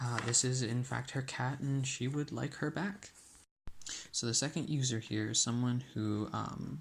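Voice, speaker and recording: A soft-spoken, somewhat breathy man, fairly slow, with ordinary pitch variation. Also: medium pitch for a man. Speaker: student. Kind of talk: app prototype demonstration. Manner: soft-spoken, ASMR-like.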